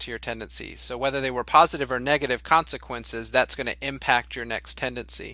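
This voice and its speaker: A man with an American accent at a fairly quick pace, on a very clean recording with a silent background. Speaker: leadership organization executive. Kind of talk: interview. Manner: loud.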